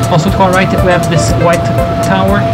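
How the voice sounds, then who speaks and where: A man at a fairly quick pace over loud background music. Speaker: tour guide. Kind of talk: bilingual guided tour commentary. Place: boat.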